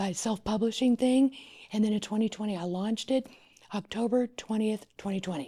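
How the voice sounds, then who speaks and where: Recorded very cleanly against a silent background, a woman speaks at a fairly quick pace in a fairly high pitch, with a dark, mellow, somewhat breathy tone and ordinary pitch variation. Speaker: wedding planner. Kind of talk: casual chat.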